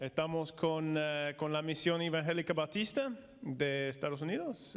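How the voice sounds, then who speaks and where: Man with an American accent, fairly high pitch, fairly slow pace. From United States. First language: English (speaking Spanish). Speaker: missionary and former pastor. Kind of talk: conference talk. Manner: halting, many fillers.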